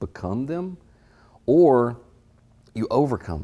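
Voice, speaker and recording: Intonation is lively in this man's speech. He has an American accent. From US South, Hattiesburg, Mississippi. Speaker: graphic design business owner. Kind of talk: interview. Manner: halting, many repeated words.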